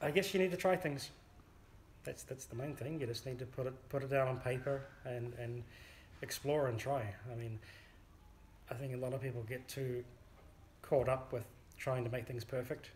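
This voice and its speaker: Speaking with a New Zealand accent, a man uses a medium pitch and fairly even intonation. His pace is moderate, with long, frequent pauses. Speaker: amateur folk songwriter. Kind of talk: interview. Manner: hesitant, with fillers.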